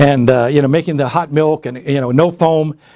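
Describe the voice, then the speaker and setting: At a fairly quick pace, a man talks in a fairly high pitch with a dark, mellow tone. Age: 60s. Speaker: author. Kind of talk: author talk. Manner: halting, with frequent restarts.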